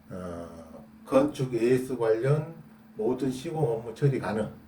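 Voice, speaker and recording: Very slow in pace, a man at a medium pitch speaks with lively intonation. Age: 60s. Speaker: construction defect repair specialist and YouTuber. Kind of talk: casual explanatory talk to camera. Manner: hesitant with fillers.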